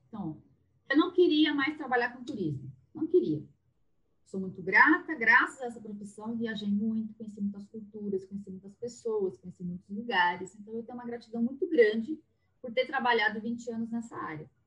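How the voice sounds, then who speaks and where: Fairly high in pitch, a woman talks at a moderate pace. Her voice shows very wide pitch swings and big swings in loudness. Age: 40s. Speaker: therapist. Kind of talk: casual chat.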